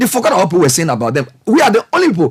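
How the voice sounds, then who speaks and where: A man speaks with a Ghanaian accent. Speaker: broadcast journalist and commentator. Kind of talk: passionate public speech on national affairs. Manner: passionate, frustrated, emphatic.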